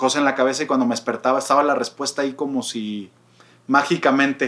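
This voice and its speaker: A man speaks at a very fast pace with a Mexican accent. His pitch sits fairly high. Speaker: podcast co-host, psychology. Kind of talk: casual chat. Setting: remote recording.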